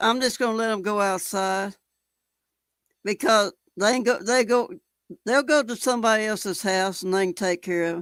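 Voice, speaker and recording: A woman with a Texan accent speaks at a fairly high pitch, her voice dry and close with no echo on a very clean recording with a silent background. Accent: Texan Southern US. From Texas. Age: 70s. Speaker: live streamer. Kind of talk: casual chat. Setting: live stream. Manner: halting.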